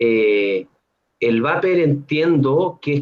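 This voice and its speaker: This man's voice is pitched fairly high. His intonation is lively. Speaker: neuroscience researcher. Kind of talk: Q&A; educational talk to students.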